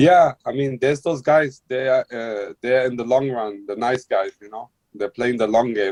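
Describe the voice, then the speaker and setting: A man with a plain, everyday voice talks at a moderate pace and medium pitch, with hardly any pauses and ordinary pitch variation. His loudness swings widely, and the sound is dry and close with no echo. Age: 40s. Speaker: guest. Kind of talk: casual chat.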